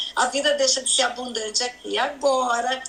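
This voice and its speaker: Noticeable background noise surrounds a woman speaking at a high pitch. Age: 70s. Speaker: pastor. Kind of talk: religious teaching in interview.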